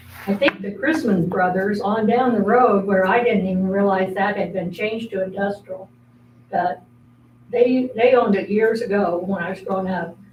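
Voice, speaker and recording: A woman with an American accent and a medium pitch uses fairly even intonation against noticeable background noise. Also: moderate pace. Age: 80s+. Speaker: resident speaking at public meeting. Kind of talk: public comment. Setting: city meeting.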